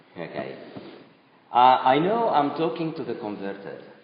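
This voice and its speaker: A man talking at a fairly slow pace amid audible room echo. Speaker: speaker addressing a youth group. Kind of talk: talk to youth audience. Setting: room with live audience, no microphone.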